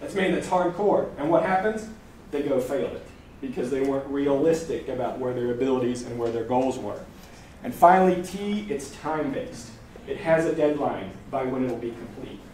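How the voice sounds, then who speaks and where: Amid noticeable background noise and audible room echo, a man with a fairly high voice talks fairly quickly with lively intonation. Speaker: language learning presenter. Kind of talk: live presentation to audience. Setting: stage with audience. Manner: fast; animated.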